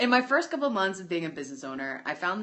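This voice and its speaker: Animated in tone, a woman talks at a very fast pace with very wide pitch swings. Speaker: online business coach. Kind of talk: livestream chat.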